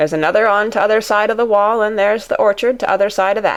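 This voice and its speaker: In a put-on character voice, a female-sounding speaker talks very fast at a medium pitch, sounding raspy and gruff. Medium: read story. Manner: curt, gruff.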